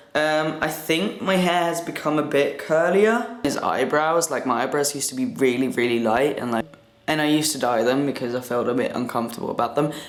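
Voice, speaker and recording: A man with a fairly high voice speaks in a room with audible echo and noticeable background noise. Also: lively intonation, fairly quick pace. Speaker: vlogger. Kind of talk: casual vlog. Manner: casual, halting.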